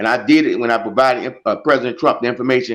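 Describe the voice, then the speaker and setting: Very fast speech from a man, pitched in the middle range. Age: 60s. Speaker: congressional candidate, army veteran. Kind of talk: interview.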